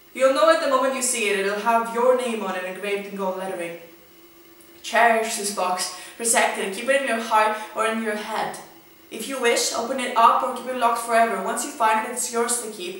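Audible room echo surrounds a woman speaking at a fairly quick pace with ordinary pitch variation. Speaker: spoken word poet. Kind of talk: spoken word poetry reading. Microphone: camera far.

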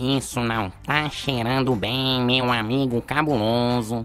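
Fairly slow, monotone, flat speech from a man at medium pitch against clear background noise. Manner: casual, wry.

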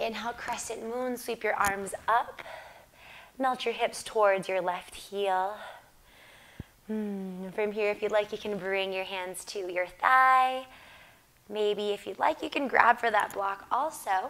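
At a very slow pace with long, frequent pauses, the voice has a bright, sharp yet gentle tone and ordinary pitch variation. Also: woman. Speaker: yoga instructor and video creator. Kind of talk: guided yoga class instruction, calming guided meditation style. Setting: home video yoga class. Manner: calm, slow, soothing; gentle, cueing breaths and poses. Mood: calm, soothing.

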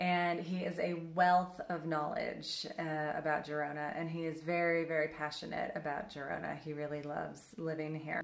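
A woman's very deep, low voice, flat and monotone, with audible room echo. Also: moderate pace, hardly any pauses. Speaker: travel vlogger. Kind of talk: casual vlog chat. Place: home room. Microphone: phone near.

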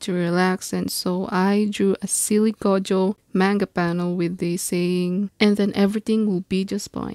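Dark and mellow in tone, the voice moves at a fairly slow pace in a monotone, flat delivery, with a dry sound, no echo and a quiet background. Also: woman. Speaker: self-taught artist. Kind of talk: casual art tutorial talk. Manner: stutters a lot. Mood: relaxed, warm. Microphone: phone near.

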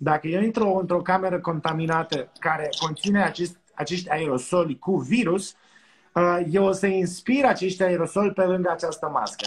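Over light background noise, a man talks at a moderate pace and a high pitch with fairly even intonation. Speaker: doctor. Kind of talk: casual chat. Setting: video call. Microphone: video call.

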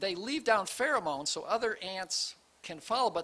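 A man projects a raised voice with a bright, sharp tone at a moderate pace. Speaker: preacher. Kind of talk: sermon. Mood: light, amused. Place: church. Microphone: studio mic.

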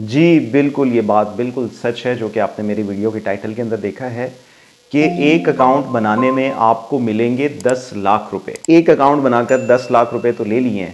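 With music playing in the background, a man talks at a moderate pace with ordinary pitch variation. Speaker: business channel host. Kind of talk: tutorial. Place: home room. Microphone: lapel.

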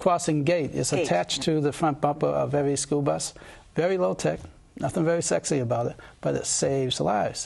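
Somewhat breathy, a man talks at a moderate pace. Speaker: candidate. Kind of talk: interview answer. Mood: calm, confident, persuasive. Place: studio. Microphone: lapel.

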